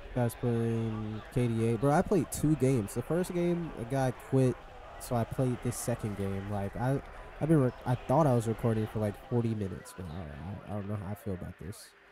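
Music plays behind a man with a medium-pitched, animated voice. He keeps a moderate pace and lively intonation. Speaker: gaming YouTuber. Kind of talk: gameplay commentary. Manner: stuttering; casual and animated.

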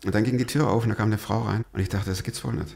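A man speaks with vocal fry and ordinary pitch variation over a quiet background. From Stuttgart, Swabia; Swabia, Germany. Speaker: podcast host, pastor and former radio presenter; podcast host, pastor, radio presenter. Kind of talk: interview, telling his life story. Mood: lively storytelling, fervent appeal. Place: studio. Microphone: studio mic.

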